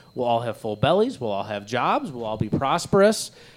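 A man's pitch swings very widely as he talks with an American accent. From northern Michigan. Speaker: podcast host. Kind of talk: casual chat. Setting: studio.

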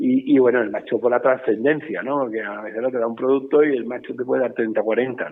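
A man talks at a fairly quick pace with hardly any pauses. His intonation is fairly even, and his loudness swings widely. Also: medium pitch for a man. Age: 50s. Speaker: bull breeder. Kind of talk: interview. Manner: halting, many repetitions.

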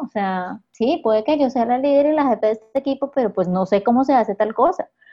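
Her high-pitched voice moves at a fairly quick pace as this woman talks. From Colombia, Huila. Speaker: communications professional. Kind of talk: interview conversation.

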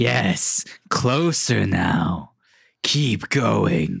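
Putting on a character voice, a man speaks in a raspy, fairly low register with very wide pitch swings. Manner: eerie, beckoning.

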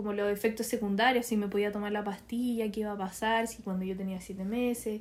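A woman with a Chilean accent talks in a fairly high voice, her intonation fairly even. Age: 20s. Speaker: young mother and nursing student. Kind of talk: casual chat.

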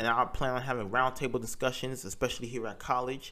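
Very fast speech from a man with a bright, sharp tone. His pitch sits in the medium range. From North Carolina, US South. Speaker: podcast host, college student. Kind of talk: solo podcast monologue.

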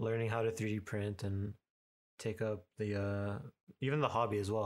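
On a very clean recording with a silent background, a man's somewhat breathy voice sits at a fairly low pitch. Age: 20s. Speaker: product designer and 3D printing specialist. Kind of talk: tutorial; casual chat.

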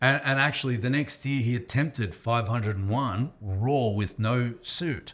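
With an Australian accent, a man speaks at medium pitch and a moderate pace, barely pausing. His pitch varies in an ordinary way, and the recording is very clean with a silent background. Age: 40s. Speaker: strength coach. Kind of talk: casual chat. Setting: gym.

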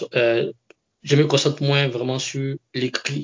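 Somewhat breathy delivery at a moderate pace with fairly even intonation. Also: man. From Ivory Coast. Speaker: engineer with a doctorate. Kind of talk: interview.

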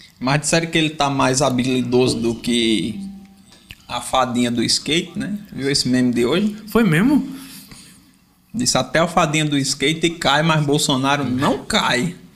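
A fairly high-pitched man at a fairly slow pace, with music in the background. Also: lively intonation. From Paraíba, Brazil. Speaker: podcast host and Portuguese teacher. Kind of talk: casual interview chat. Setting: small studio.

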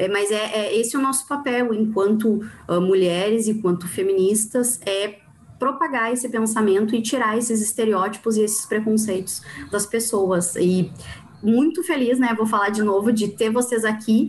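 A woman with a fairly high pitch speaks at a moderate pace with ordinary pitch variation and very even loudness, over noticeable background noise. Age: 30s. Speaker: podcast host, poet. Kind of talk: casual chat.

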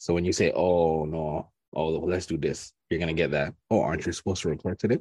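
The speaker goes at a very fast pace with a dark, mellow tone and fairly even intonation. The background is quiet. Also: man, very deep, low pitch for a man. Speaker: podcast host. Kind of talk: casual chat.

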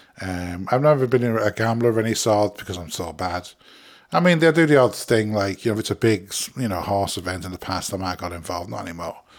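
At a very fast pace, a fairly low-pitched man speaks with lively intonation and big swings in loudness, in a very clean recording with a silent background. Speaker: podcast host. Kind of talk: solo reflective monologue, casual chat. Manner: fast talker; rambling, filler-heavy, conversational.

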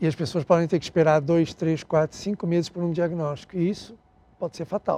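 A man's high-pitched, dark, mellow voice, fairly quick and fairly even in intonation, in a dry, close sound with no echo. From Portugal, raised in Angola. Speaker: health tech CEO. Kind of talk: interview. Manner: halting.

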